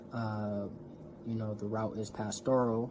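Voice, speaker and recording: In an American accent, a man talks at a fairly slow pace and medium pitch, with audible room echo. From US Midwest, North Minneapolis. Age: 20s. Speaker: seminary graduate, community organizer. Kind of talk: talk in an online community event. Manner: casual, with many fillers.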